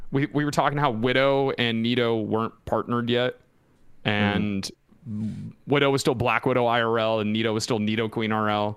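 In an unremarkable speaking voice, a man talks at a moderate pace with medium pitch, fairly even intonation, and very even loudness. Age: late 20s. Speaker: esports podcast co-host. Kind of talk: casual chat. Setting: live stream.

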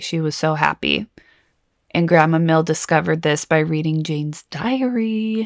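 An ordinary speaking voice, its pitch variation ordinary. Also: woman. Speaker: true crime podcast host. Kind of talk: true-crime narration, scripted storytelling with chatty asides. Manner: measured, serious storyteller pace, conversational; warm, casual, occasionally playful.

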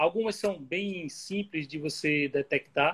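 The sound is dry and close with no echo, and a man talks with ordinary pitch variation. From Bahia, Brazil. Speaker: music researcher and author. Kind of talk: interview on an Instagram live. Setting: video call.

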